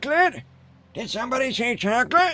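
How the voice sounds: The speaker uses a put-on character voice at a fairly high pitch and a fairly quick pace. Faint music sits in the background.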